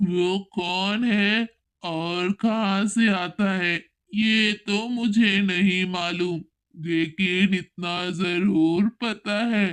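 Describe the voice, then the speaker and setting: A woman's cartoonish character voice at a very slow pace and medium pitch. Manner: ominous, knowing.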